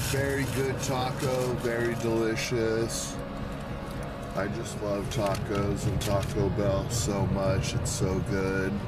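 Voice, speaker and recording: A man at a very slow pace, with ordinary pitch variation over loud background music. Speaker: food reviewer. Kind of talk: casual vlog chat. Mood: happy, relaxed. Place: car. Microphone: phone near.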